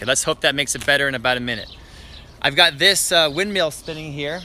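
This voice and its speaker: Amid noticeable background noise, a man with a fairly high pitch talks at a very fast pace. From western Canada (Richmond, British Columbia). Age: 30s. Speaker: gardening YouTuber. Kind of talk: live-stream garden tour. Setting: outdoors in backyard garden. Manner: animated.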